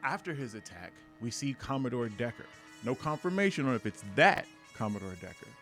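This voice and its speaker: With music in the background, a man of medium pitch speaks in very wide pitch swings. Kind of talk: comic book review to camera. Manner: reading from a script.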